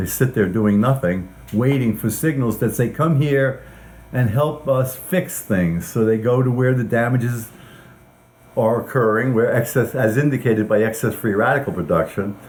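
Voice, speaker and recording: A man speaks in a somewhat breathy voice with ordinary pitch variation. His loudness stays very even. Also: medium pitch for a man, moderate pace. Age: 70s. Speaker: scientist. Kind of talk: interview. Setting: at his home.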